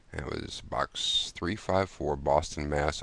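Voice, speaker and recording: This man's pitch is very deep and low. He speaks at a fairly slow pace. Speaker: video blogger. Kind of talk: casual chat. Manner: halting, many fillers.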